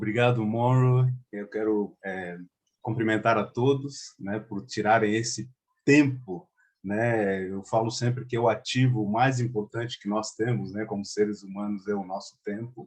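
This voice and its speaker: A man's fairly low voice, with ordinary pitch variation, comes through at a fairly slow pace. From Angola. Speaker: chamber of commerce president. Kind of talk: conference talk. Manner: many fillers and hesitations.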